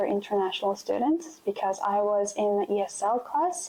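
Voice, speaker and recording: A woman with a Korean accent speaks at a moderate pace with lively intonation. Noticeable background noise can be heard. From South Korea. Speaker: interviewee sharing immigration experience. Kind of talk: interview testimony.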